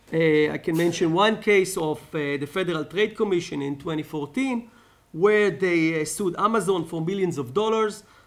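Moderate pace with an Israeli accent. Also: man. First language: Hebrew. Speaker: law lecturer. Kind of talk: conference talk. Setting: stage with audience. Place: hall. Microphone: podium.

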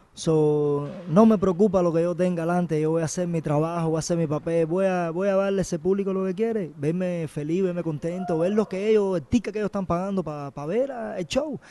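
A man with a Cuban accent speaks fairly quickly at a high pitch, his tone dark and mellow with ordinary pitch variation, in a dry sound with no echo and light background noise. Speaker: MMA fighter. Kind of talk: interview. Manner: halting. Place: gym. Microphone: handheld.

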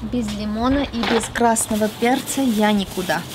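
There is clear background noise as a woman talks. Her pitch variation is ordinary and her pace is moderate. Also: fairly high pitch for a woman.

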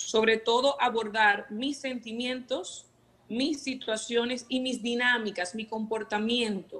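A woman with a fairly high pitch talks at a very slow pace, her intonation fairly even. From Venezuela. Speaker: emotional wellbeing coach. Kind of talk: TV segment talk.

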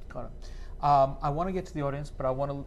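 Speaking with an American accent, a man is heard with audible room echo. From New York. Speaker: professor. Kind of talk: panel conversation.

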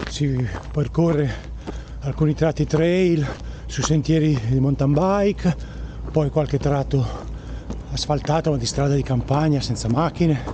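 A man talks at a fairly slow pace, with long, frequent pauses. Noticeable background noise runs underneath. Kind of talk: casual vlog chat while running. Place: forest. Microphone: phone near.

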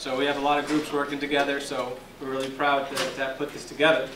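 Over noticeable background noise, a man talks very fast at a fairly high pitch. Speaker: law student. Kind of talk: event introduction. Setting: stage with audience. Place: classroom. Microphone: handheld.

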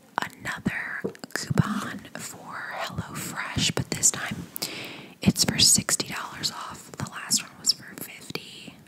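Soft-spoken and whispering, a woman talks at a very slow pace amid noticeable background noise. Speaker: ASMR creator. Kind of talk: soft-spoken ASMR unboxing chat. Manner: soft close-mic ASMR whisper. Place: home room. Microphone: studio mic.

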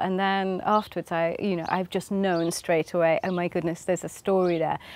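The sound is dry with no echo as a woman speaks at a medium pitch. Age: 50s. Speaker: novelist. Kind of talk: interview. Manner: halting. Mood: warm, cheerful, often laughing. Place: garden.

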